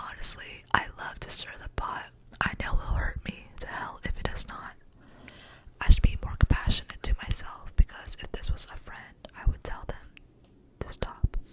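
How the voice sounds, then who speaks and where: Whispering at a moderate pace with long, frequent pauses, a woman's voice shows big swings in loudness amid noticeable background noise. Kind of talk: poetry reading. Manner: whispered.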